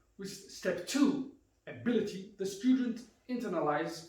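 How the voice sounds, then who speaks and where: With a German accent, a man speaks using lively intonation. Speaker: karate instructor. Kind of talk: instructional talk.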